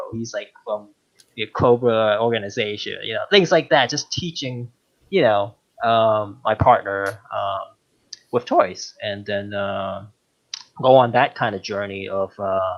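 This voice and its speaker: The speech moves at a fairly slow pace with ordinary pitch variation. Its loudness swings widely. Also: man, medium pitch for a man. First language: not English. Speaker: podcast guest, longtime listener and toy collector. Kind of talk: casual chat. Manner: halting, many fillers.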